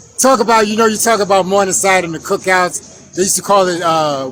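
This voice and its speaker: Over noticeable background noise, a man with a high voice talks at a very fast pace. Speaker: documentary maker. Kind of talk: street interview.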